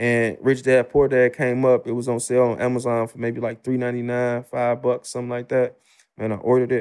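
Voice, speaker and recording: His pace is moderate. This man's voice sits at a medium pitch. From Chicago South Side. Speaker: real estate investor. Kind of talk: casual interview. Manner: animated.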